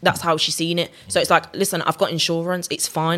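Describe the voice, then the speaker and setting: A woman with a Birmingham accent, a bright, sharp tone and a fairly quick pace. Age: young. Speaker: R&B singer. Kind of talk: casual chat.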